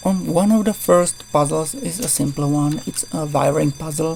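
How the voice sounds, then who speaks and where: Music plays in the background as a woman with a non-native accent speaks at a fairly slow pace. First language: not English. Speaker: gaming YouTuber. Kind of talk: tutorial. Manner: halting. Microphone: poor voice recording.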